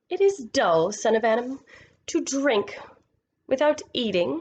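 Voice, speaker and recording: A woman uses a put-on character voice, high in pitch and swinging very widely. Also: fairly slow pace. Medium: read story. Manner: imperious, cold.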